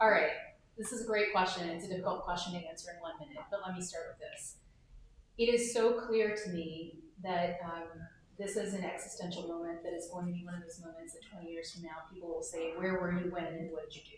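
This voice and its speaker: A woman speaks very fast in a fairly low, somewhat breathy voice with fairly even intonation. Her loudness swings widely, and room echo is audible. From US South (Georgia, Alabama). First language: not English (English is her third language). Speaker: political candidate, former federal prosecutor. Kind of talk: candidate forum speech.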